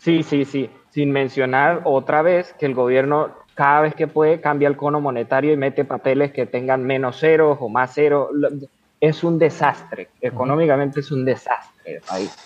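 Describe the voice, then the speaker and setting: With a normal speaking voice, a man talks at a moderate pace in a fairly high pitch and fairly even intonation. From Venezuela. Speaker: podcast host. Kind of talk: casual interview.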